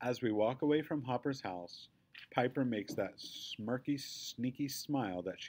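What you hear is an unforced reading voice.

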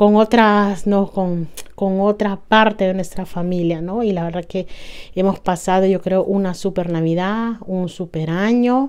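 A woman at a fairly slow pace, fairly even in intonation, with a quiet background. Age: 40s. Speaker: lifestyle vlogger. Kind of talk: casual vlog monologue. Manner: halting, with fillers. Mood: warm, happy, reflective. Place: home room. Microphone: lapel.

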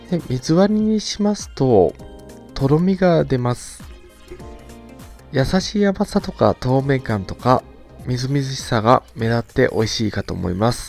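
A man speaks at a fairly slow pace with very wide pitch swings. Music plays in the background, and the sound is dry with no echo. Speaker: drink reviewer. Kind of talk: product review commentary. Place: home room.

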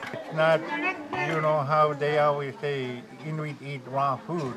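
Behind the speaker there is noticeable background noise. He is a man talking at a moderate pace. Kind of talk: interview answer. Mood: proud, explanatory. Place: home room.

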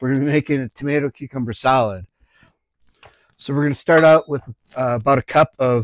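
A man talks with ordinary pitch variation, and the sound is dry with no echo. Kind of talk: tutorial. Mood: relaxed, joking. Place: kitchen. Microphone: lapel.

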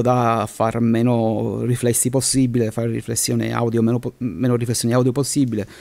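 This man holds a medium pitch and a moderate pace, his intonation monotone and flat. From Sicily (Palermo). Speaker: aspiring voice-over artist, chemist. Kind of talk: casual interview. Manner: halting.

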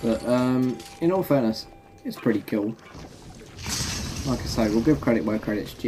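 Speaking at a moderate pace with a medium pitch, a man has a dark, mellow tone, ordinary pitch variation and long, frequent pauses, with faint background noise.

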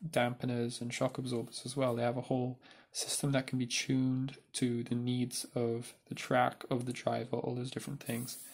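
A man's medium-pitched voice at a moderate pace, monotone with flat intonation. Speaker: Lego builder. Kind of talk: casual explanation to camera.

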